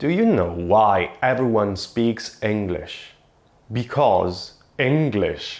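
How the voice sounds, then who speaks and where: A man speaks with an Italian accent. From Italy. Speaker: linguist and YouTuber. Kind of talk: casual vlog explainer. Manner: animated, with self-repetitions.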